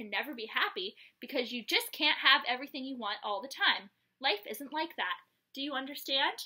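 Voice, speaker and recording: The delivery is neither fast nor slow. Someone is putting on a character voice. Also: woman, high pitch for a woman. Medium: read story.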